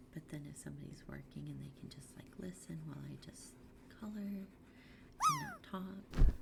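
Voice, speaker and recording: Whispering with big swings in loudness, a woman leaves long, frequent pauses over noticeable background noise. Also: moderate pace. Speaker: art streamer. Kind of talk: casual livestream chat. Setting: livestream from home room. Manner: soft-spoken. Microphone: quiet, gain low, noise suppression off.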